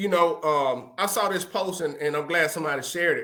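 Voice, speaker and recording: Bright, sharp tone from a man, voice raised and projected. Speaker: podcast host. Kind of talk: motivational talk. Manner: loud.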